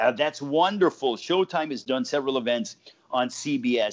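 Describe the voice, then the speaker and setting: With an American accent and lively intonation, this normal speaking voice moves at a moderate pace. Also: man. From Los Angeles, California. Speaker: ring announcer, play-by-play commentator, sports anchor. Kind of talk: casual interview answer.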